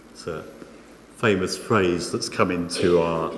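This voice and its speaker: A soft-spoken man talks at a fairly slow pace, with audible echo from the room. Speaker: preacher. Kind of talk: sermon. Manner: halting.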